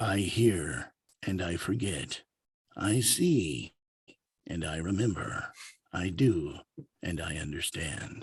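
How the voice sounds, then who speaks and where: Using a put-on character voice, a man speaks very deep and low, with a dramatic tone and lively intonation. His pace is very slow, broken by long, frequent pauses. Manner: dramatic, portentous.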